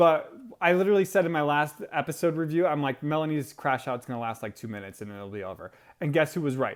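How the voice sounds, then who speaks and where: A man speaks at a very fast pace in an animated tone, his pitch fairly high with lively intonation. The recording is very clean, with a silent background. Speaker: TV show reviewer. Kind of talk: casual vlog review.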